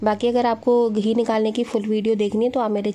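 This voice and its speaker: Her voice has a dark, mellow tone at a fairly high pitch as the woman speaks at a moderate pace. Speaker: family vlogger. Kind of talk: casual vlog narration. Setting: outdoors at market.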